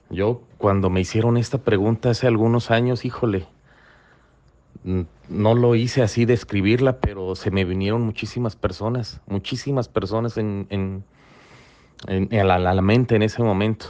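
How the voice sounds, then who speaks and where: This man speaks with a Mexican accent at a fairly low pitch and a moderate pace. His tone is dark and mellow, with fairly even intonation. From Mexico, Colima. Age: 40s. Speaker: recovery testimony speaker. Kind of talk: testimony. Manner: halting, frequent repetitions.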